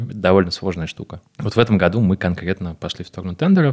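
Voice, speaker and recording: Very deep and low in pitch, a man is heard in a very clean recording with a silent background and a dry, close sound with no echo. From Moscow, Russia. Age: 20s. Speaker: agency co-owner and director. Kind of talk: interview. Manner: casual.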